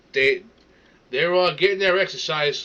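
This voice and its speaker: A man talks in a New York accent. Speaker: reaction streamer. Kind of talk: casual reaction rant. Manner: animated, stammering.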